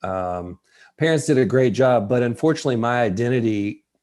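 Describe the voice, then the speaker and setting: Someone with a Tennessee accent speaks at a moderate pace with ordinary pitch variation. The recording is very clean, with a silent background. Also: man. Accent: Southern US (Tennessee). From US South, West Tennessee. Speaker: college tennis coach. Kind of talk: interview conversation.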